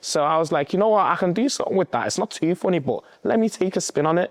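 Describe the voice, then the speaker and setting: The sound is dry and close with no echo as a man speaks with a Liverpool accent. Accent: Scouse. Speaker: content creator. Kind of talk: casual vlog talk.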